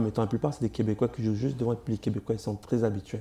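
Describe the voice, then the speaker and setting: The man's medium-pitched voice has a dark, mellow tone. His intonation stays monotone and flat. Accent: African. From Congo, moved to Cuba at 7. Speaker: comedian. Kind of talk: interview.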